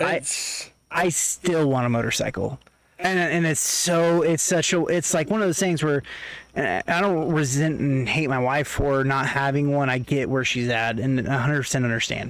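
With an American accent, a man speaks at a moderate pace and a fairly high pitch with ordinary pitch variation. His loudness stays very even over noticeable background noise. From Oklahoma, Tulsa. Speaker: podcast guest. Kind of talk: casual chat.

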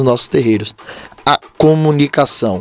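There is noticeable background noise, though the sound is dry and close with no echo. A man with a fairly high pitch speaks at a moderate pace. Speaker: podcast host, umbanda practitioner. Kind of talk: casual religious talk.

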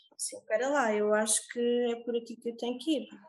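Here a woman talks with a fairly high pitch. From Portugal, Algarve (Olhão). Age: 30s. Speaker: yoga teacher. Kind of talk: interview.

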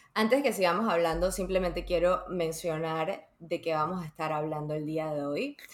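Noticeable background noise sits behind a woman with a fairly low pitch. She speaks with hardly any pauses. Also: ordinary pitch variation, moderate pace. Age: 30s. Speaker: podcast host. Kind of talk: casual chat.

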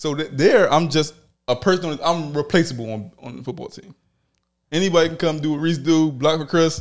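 A man's unremarkable speaking voice in an American accent, fairly high in pitch with ordinary pitch variation, at a fairly quick pace with big swings in loudness. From Philadelphia. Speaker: podcast host. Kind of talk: casual chat.

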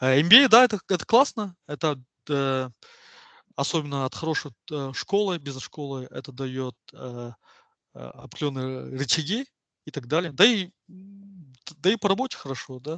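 A man's fairly high, bright and sharp voice at a fairly slow pace, with lively intonation, long and frequent pauses, big swings in loudness, and a dry, close sound with no echo. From Kazakhstan, Kostanay region and Semey. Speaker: oil and gas economist. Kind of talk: casual interview.

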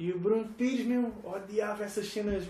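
A man with a high pitch speaks at a moderate pace. Audible room echo and noticeable background noise are present. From Portugal, Algarve (Estoi, near Faro). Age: 30s. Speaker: tour manager and former hardcore musician. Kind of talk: casual chat.

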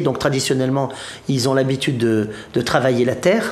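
Amid noticeable background noise and audible room echo, a man speaks at a moderate pace and fairly high pitch. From Provence, southern France. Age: 50s. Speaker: Bhutan travel specialist. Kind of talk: interview. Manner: halting.

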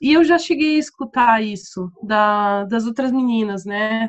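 A woman in a Curitiba accent, at a fairly slow pace with ordinary pitch variation. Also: quiet background. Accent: Curitiba accent, still noticeable. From southern Brazil, Curitiba. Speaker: English teacher and teacher trainer. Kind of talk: casual interview.

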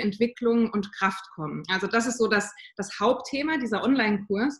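At a moderate pace, a woman talks in a fairly high, somewhat breathy voice. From southern Germany. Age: 30s. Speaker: mindset and motivation coach for mothers. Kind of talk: interview.

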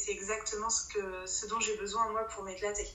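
A woman speaks at a fairly slow pace in a medium pitch, with monotone, flat intonation. The room echo is audible and the background noise is noticeable. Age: 30s. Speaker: forum role-play game player and administrator. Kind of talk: casual interview. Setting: remote recording. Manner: halting, many repetitions.

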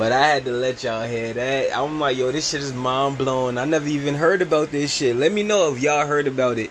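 A man with a fairly high voice speaks in an animated tone at a fairly quick pace, with hardly any pauses and ordinary pitch variation. Noticeable background noise is present. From New York City. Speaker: podcast host. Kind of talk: casual commentary.

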